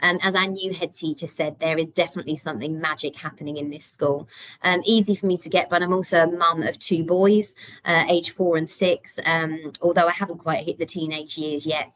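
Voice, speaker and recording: A woman speaks with a British accent at a fairly low pitch. Her pace is fairly quick and her intonation fairly even. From UK. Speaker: deputy head teacher. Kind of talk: parent workshop presentation. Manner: many filler ums.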